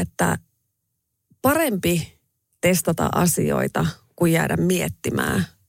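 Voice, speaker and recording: With vocal fry and a fairly low pitch, a woman speaks at a very slow pace in a dry, close sound with no echo. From Finland, Raahe (northern Ostrobothnia). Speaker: radio host and restaurant owner. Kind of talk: interview.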